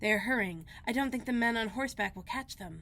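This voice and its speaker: Someone rattles along at a very fast pace in a put-on character voice. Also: woman, fairly high pitch for a woman. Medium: read story.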